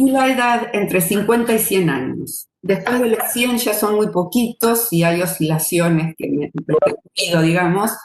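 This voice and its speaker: In a normal speaking voice, a woman talks at a fairly slow pace with medium pitch and lively intonation. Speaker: retired mathematics professor. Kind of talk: lecture.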